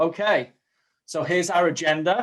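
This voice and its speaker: A man with a strong Manchester accent at a fairly slow pace. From northern England, Manchester. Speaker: community program manager at a software company. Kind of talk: webinar presentation.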